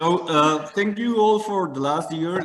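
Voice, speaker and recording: A man speaks in a Mexican accent at a moderate pace. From Mexico. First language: Spanish. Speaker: caller. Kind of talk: call-in question to radio show. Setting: video call. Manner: halting.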